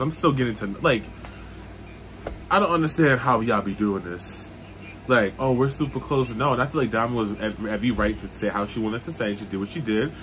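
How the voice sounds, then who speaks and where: Music plays in the background as the speaker moves at a fairly quick pace with lively intonation. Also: man. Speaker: reality TV reaction vlogger. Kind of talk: casual vlog chat. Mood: opinionated, annoyed at the show. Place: home room. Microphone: phone near.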